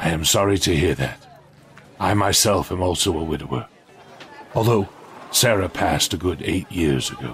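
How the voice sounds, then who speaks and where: At a moderate pace, a man with a very deep, low pitch speaks with long, frequent pauses. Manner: warm, gently stern.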